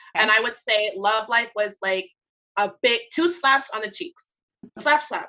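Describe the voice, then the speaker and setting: This woman's voice is raised and projected, with a bright, sharp tone. She talks at a moderate pace. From Jamaican heritage. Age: 30s. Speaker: radio morning show producer. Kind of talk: casual chat.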